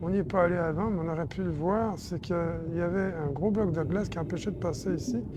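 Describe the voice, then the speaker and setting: Her voice fairly low in pitch, a woman speaks with lively intonation. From France. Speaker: video game walkthrough creator. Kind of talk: game walkthrough commentary. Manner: casual, explanatory.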